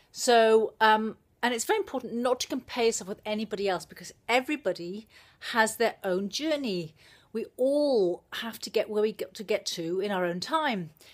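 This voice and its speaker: A woman speaks with a Welsh accent and a fairly high pitch against a quiet background. Her intonation is lively, with big swings in loudness. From South Wales, living in New Zealand. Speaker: personal development blogger, video monologue. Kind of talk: casual vlog chat. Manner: fast talker. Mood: earnest, reflective. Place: home room. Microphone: phone near.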